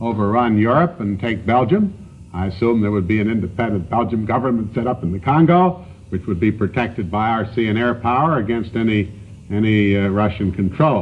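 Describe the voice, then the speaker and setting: A man with an American accent and a plain, everyday voice, fairly low in pitch, at a fairly quick pace with ordinary pitch variation. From United States. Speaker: senator being interviewed on a news panel show. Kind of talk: television interview answer.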